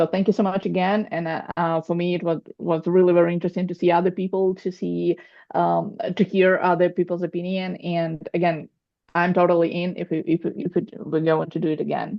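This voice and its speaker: A woman's fairly low, monotone voice at a fairly quick pace. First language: Russian. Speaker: coaching student preparing for exam. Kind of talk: group video call feedback. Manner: halting, with false starts.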